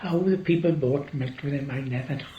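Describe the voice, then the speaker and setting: A man speaks at a moderate pace with a South Wales accent and fairly even intonation. Audible room echo surrounds his voice. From Wales, Gower. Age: 80s+. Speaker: farmer. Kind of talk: oral history interview.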